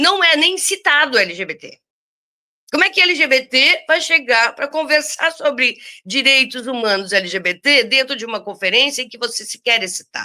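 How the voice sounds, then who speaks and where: Very wide pitch swings mark this raised, projected voice, bright and sharp in tone, on a very clean recording with a silent background. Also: woman. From southern Brazil (Rio Grande do Sul). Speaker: activist and librarian. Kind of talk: interview. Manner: animated.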